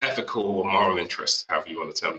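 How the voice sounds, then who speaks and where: The speech comes at a very fast pace. It is delivered with an English accent. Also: man. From UK (Nigerian-born, British raised). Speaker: marketing executive. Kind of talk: interview.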